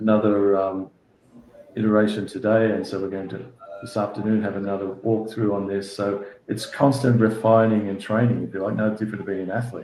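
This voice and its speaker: A man with an Australian accent talks fairly quickly at a fairly low pitch, monotone and flat. Audible room echo and noticeable background noise surround him. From Australia, Sydney northern beaches. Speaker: sports federation executive. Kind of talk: interview. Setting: video call. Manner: halting, many repeated words.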